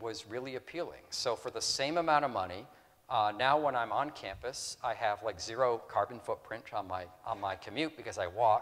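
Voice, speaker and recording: Speaking at a fairly quick pace, a man with an American accent uses lively intonation. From upstate New York. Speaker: retired naval officer and professor; professor. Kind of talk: public lecture. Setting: auditorium with audience. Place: hall.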